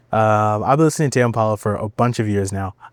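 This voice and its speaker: At a fairly quick pace, a man speaks in a very clean recording that is dry and close with no echo and has a silent background. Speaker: podcast host. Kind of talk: casual solo podcast monologue. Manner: casual, hesitant with fillers.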